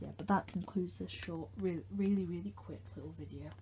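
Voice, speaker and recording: The speaker is soft-spoken and talks at a fairly quick pace. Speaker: hobbyist video maker. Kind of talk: casual tutorial demonstration. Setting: bedroom at night. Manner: quiet, talking softly late at night; hesitant, with fillers.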